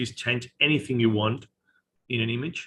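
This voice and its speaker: A man speaks at a moderate pace. His intonation is monotone and flat. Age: 40s. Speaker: photographer and AI artist. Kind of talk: casual chat with screen demo.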